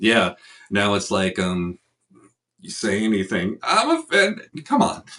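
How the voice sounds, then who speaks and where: A man with a Chicago accent at a fairly slow pace, with long, frequent pauses. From Chicago area. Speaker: podcast host. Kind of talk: interview.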